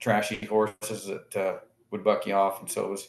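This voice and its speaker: A man with an American accent, fairly low-pitched, at a moderate pace amid audible room echo. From Jordan Valley, Oregon / Owyhee County, Idaho; Oregon. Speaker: rancher and livestock auction owner; guest. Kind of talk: casual chat. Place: office. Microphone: video call.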